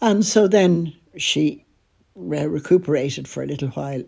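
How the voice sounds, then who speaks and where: In an Irish accent, a woman speaks at a fairly slow pace. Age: 80s+. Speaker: podcaster. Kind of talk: personal storytelling.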